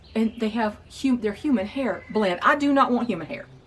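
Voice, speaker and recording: Noticeable background noise runs through the clip. A woman speaks in a high pitch. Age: 60s. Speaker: wig reviewer. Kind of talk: casual vlog talk. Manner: halting, with repetitions.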